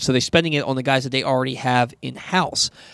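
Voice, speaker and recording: This man has an unremarkable speaking voice, fairly high in pitch, moving at a fairly quick pace in a dry, close sound with no echo and a very clean recording with a silent background. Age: 30s. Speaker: sports radio host. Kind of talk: sports talk radio. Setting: studio.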